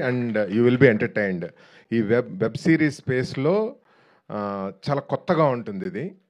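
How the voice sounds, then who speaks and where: Against a quiet background, a man speaks at a medium pitch with lively intonation. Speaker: film producer. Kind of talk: speech at a film trailer launch event. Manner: calm.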